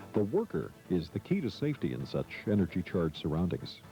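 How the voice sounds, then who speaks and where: A man talks at a fairly quick pace with very wide pitch swings. Music plays in the background. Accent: American. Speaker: voice-over artist. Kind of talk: corporate training narration.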